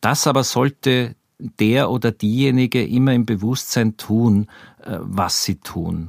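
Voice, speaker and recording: On a very clean recording with a silent background and a dry, close sound with no echo, a man speaks at a very slow pace with a medium pitch and ordinary pitch variation. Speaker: journalist. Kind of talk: interview.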